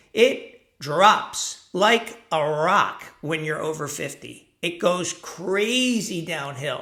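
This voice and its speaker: A man's high, bright, sharp voice with lively intonation at a very slow pace, hardly any pauses, and audible room echo. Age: 60s. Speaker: self-help vlogger for men over 50. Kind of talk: casual talking-head monologue. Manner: conversational, with fillers.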